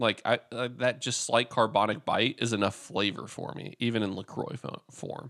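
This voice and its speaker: A man with a normal speaking voice talks at a moderate pace and medium pitch, with fairly even intonation and hardly any pauses, in a dry, close, very clean recording with a silent background and no echo. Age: 30s. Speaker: podcast co-host. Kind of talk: casual chat. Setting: at a co-host's house.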